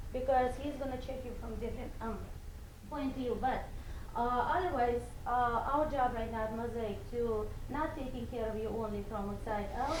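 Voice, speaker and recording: Her voice sits high for a woman, with fairly even intonation at a moderate pace. Noticeable background noise and audible room echo fill the recording. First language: not English. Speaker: salon spa owner. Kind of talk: speech to an audience.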